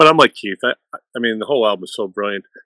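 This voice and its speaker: A man's fairly low voice with a Boston accent, bright and sharp in tone, with a dry, close sound and no echo. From US, Boston area. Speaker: music fan panelist. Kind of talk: casual chat.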